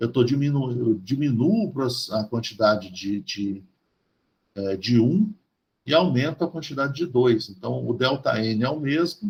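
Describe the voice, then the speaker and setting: A man speaks at a fairly slow pace and medium pitch. His voice is somewhat breathy, with lively intonation. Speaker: chemistry professor. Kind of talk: university lecture. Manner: halting, many fillers and restarts.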